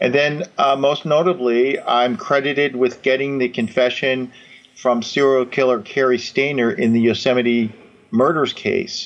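Delivered at a fairly slow pace, this is an ordinary speaking voice with very even loudness and ordinary pitch variation. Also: man, medium pitch for a man. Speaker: retired FBI agent and author. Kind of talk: interview.

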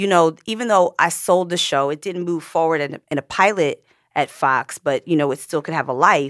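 A woman with an American accent talks at a moderate pace in a fairly low voice with lively intonation. She has an unremarkable speaking voice, and the sound is dry and close with no echo. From Pennsylvania, US. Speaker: actress. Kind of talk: casual chat.

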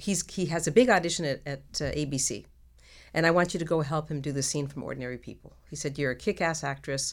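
A woman with a very deep, low pitch talks at a fairly quick pace. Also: very clean recording, silent background. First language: Hungarian. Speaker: actress. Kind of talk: casual interview chat.

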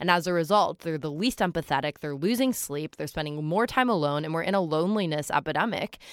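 A woman with an American accent talks at a very fast pace with hardly any pauses, her fairly low voice carrying lively intonation on a very clean recording with a silent background and a dry, close sound with no echo. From New York City. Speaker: advocate and nonprofit founder. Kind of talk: casual chat.

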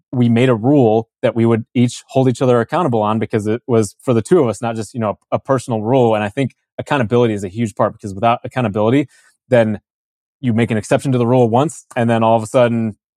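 Talking at a very fast pace with an American accent, a man with a medium pitch and fairly even intonation is recorded dry and close with no echo, very clean over a silent background. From US Midwest, Chicago suburbs. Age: 30s. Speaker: fighter pilot. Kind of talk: interview.

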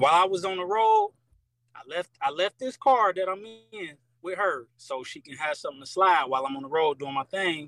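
Over music in the background, a man speaks with lively intonation in a high pitch, the sound dry and close with no echo. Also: moderate pace. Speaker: caller. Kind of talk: casual chat.

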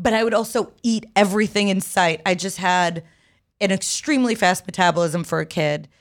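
A woman with a plain, everyday voice talks at a fairly quick pace, medium in pitch with ordinary pitch variation, on a very clean recording with a silent background. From Egypt, raised in US from age five. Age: 30s. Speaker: comedian. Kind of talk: casual chat.

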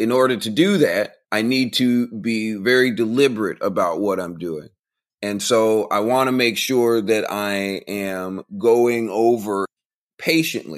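With an American accent and a normal speaking voice, a man speaks at a fairly slow pace and medium pitch, with ordinary pitch variation. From Central Florida. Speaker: author and motivational speaker. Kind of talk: interview.

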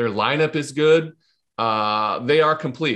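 A man speaks at a moderate pace with ordinary pitch variation and an unremarkable speaking voice against a quiet background. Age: 30s. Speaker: former pro baseball pitcher. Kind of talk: casual chat.

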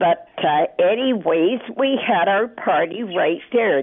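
Over noticeable background noise, a woman at medium pitch speaks at a very slow pace with very wide pitch swings. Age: 80s+. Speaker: radio caller. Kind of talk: call-in talk. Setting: phone call.

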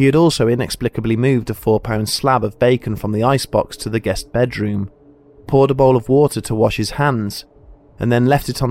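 At a fairly quick pace, a man speaks in an ordinary speaking voice. His pitch is medium and his intonation fairly even. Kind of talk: true-crime narration. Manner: measured, solemn, steady storytelling pace.

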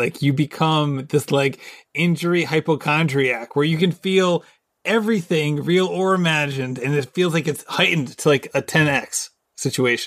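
An unremarkable speaking voice with ordinary pitch variation goes at a moderate pace on a very clean recording with a silent background. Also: man. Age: 40s. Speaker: podcast host. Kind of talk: casual interview.

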